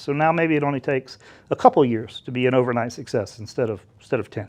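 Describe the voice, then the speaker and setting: Someone with an American accent talks at a very fast pace. The background is quiet. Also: man. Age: 50s. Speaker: tech dealmaker and entrepreneur. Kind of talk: interview. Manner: casual, hesitant with fillers.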